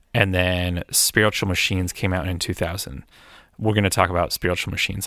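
A man with an American accent speaks in a very deep, low voice with fairly even intonation. The recording is very clean with a silent background and a dry, close sound with no echo. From US, Erie, Pennsylvania. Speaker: music podcast co-host. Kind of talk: casual chat. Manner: halting.

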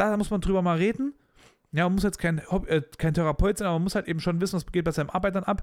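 A very fast, animated, high-pitched man with very even loudness, in a very clean recording with a silent background. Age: 20s. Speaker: podcast host. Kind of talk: casual monologue.

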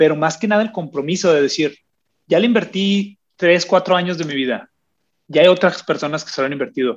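This man's voice is high-pitched, moving at a fairly quick pace with ordinary pitch variation. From northern Mexico (Agua Prieta, Sonora). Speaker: documentary filmmaker. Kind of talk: casual interview. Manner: halting, frequent word repetitions.

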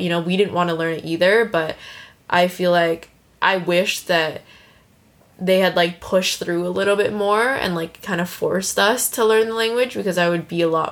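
A woman talks with an American accent at a moderate pace, her intonation fairly even. She has an ordinary speaking voice, fairly low in pitch. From United States. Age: 20s. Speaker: podcast host, new mother. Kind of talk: casual chat.

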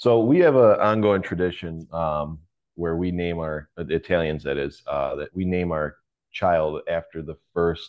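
Pitch variation is ordinary. The speech moves fairly slowly. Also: man, very deep, low pitch for a man. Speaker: firefighter. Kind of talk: casual chat.

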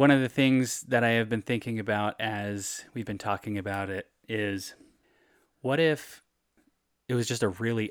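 With a plain, everyday voice, a man talks at medium pitch and a moderate pace with fairly even intonation. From California, Bay Area. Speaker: podcast co-host and producer. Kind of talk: casual chat.

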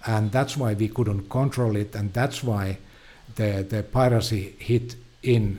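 In a Finnish accent, the somewhat breathy voice carries a dark, mellow tone and fairly even intonation. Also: man. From Finland. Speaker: film producer. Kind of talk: casual interview. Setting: studio. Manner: halting, repeats words.

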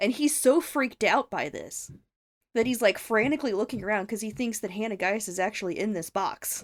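With a plain, everyday voice, a woman talks at a fairly high pitch and a fairly quick pace, using lively intonation. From US South. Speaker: returning podcast guest. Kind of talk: casual chat.

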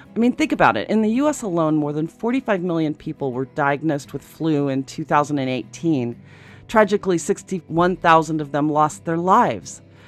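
A woman's very deep, low pitch with lively intonation at a moderate pace. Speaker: radio host. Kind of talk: radio interview.

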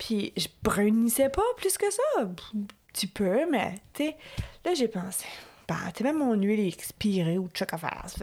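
A woman at a fairly slow pace with very wide pitch swings and long, frequent pauses, amid noticeable background noise. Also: fairly high pitch for a woman. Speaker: podcast co-host. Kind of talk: casual chat.

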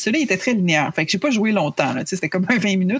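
A woman's somewhat breathy voice with lively intonation comes through dry and close, with no echo. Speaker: video game journalist. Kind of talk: podcast interview.

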